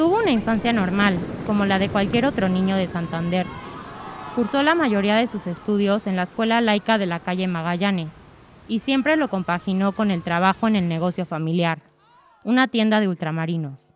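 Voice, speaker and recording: A woman with a Mexican accent speaks at a moderate pace and medium pitch with ordinary pitch variation. Noticeable background noise runs underneath. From Mexico. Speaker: podcast host and narrator. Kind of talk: scripted narration.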